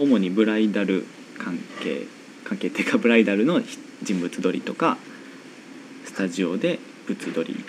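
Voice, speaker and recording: There is noticeable background noise behind a man's voice. He keeps a moderate pace but leaves long, frequent pauses. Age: 20s. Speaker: radio show host. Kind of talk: casual interview chat. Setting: home studio in an old house.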